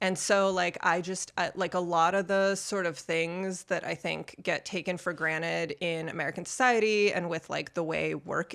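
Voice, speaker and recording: Here a woman talks at a moderate pace with hardly any pauses. Hers is an unremarkable speaking voice with fairly even intonation. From US, born in Soviet Union. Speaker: artist, former scientist. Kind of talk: casual chat.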